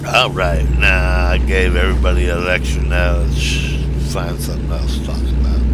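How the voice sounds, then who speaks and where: Over noticeable background noise, a man with a very deep, low pitch talks in a monotone, flat way at a moderate pace with hardly any pauses. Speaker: gaming streamer. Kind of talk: casual gameplay commentary. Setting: back porch. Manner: trails off, fades out at sentence ends; clipped words, run-on sentences.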